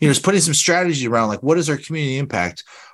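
A man's voice with ordinary pitch variation. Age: 40s. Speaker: business consultant. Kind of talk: interview. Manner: animated.

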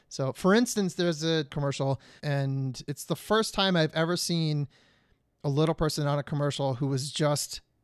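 Speaking in an ordinary speaking voice with an American accent, a man has a fairly high pitch, ordinary pitch variation and a moderate pace, in a dry, close sound with no echo. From Detroit, Michigan. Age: 40s. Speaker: television producer and actor. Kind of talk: interview.

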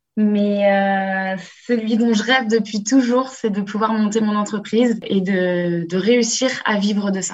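A woman at a medium pitch, with a very slow pace, fairly even intonation and audible room echo. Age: 20s. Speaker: business master's student, apprentice. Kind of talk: remote interview. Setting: remote call.

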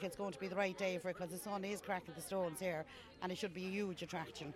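Over crowd noise in the background, a woman with an Irish accent talks very fast at medium pitch with fairly even intonation. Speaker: festival volunteer. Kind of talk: casual interview chat. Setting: outdoors at festival.

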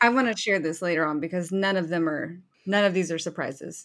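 The pace is fairly quick and the intonation fairly even. It is an unremarkable speaking voice. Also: woman. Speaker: podcast panelist. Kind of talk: casual chat.

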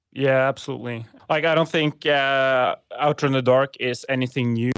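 A man at a moderate pace, fairly even in intonation, in a dry, close sound with no echo. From Norway. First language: Norwegian. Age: 30s. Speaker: clothing company founder. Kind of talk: casual interview. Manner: halting, many fillers.

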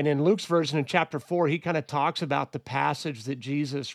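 In an unremarkable speaking voice, the speaker keeps a moderate pace and fairly even intonation, with a dry, close sound and no echo. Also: man. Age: 40s. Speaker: pastor. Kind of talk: Bible study discussion. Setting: studio.

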